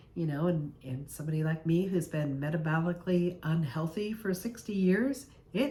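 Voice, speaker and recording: With a plain, everyday voice, a woman speaks at a fairly low pitch and a moderate pace, her intonation lively. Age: 60s. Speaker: health vlogger. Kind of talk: casual vlog monologue.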